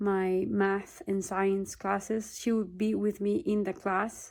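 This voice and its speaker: On a very clean recording with a silent background, a woman with a Peruvian accent speaks at medium pitch and a very slow pace, in monotone, flat intonation. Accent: Peruvian Spanish accent, noticeable. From Peru, Lima. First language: Spanish. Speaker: vlogger. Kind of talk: personal testimony. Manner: halting, with repetitions.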